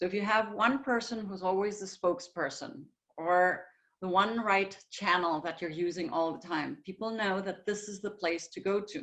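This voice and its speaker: A woman with a German accent talks at a medium pitch. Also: ordinary pitch variation, moderate pace. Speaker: communication consultant. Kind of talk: webinar lecture.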